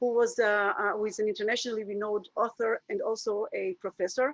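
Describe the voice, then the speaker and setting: Dry and close with no echo, a woman talks at a very fast pace and a fairly high pitch. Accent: Israeli. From Israel. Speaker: happiness coach. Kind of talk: webinar presentation. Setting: video call. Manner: halting.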